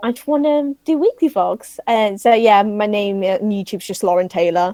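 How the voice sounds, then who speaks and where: Dry and close with no echo, a woman uses a normal speaking voice at a fairly high pitch with ordinary pitch variation. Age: 20s. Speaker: vlogger. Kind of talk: casual chat.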